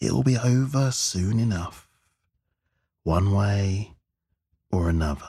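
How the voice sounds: Using a put-on character voice, a man speaks slowly at a fairly low pitch, with lively intonation and a dark, mellow tone carrying a slightly husky edge. The recording is very clean, with a silent background.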